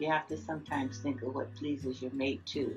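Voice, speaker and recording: A woman keeps a moderate tempo while music sounds behind her. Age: 80s+. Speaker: grandmother. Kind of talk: interview answer. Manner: outspoken, vivacious.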